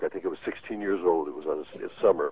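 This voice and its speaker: Speaking fairly quickly, the man has an American accent. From New Jersey (Teaneck). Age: 60s. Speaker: radio and TV broadcaster. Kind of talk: call-in. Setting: phone call.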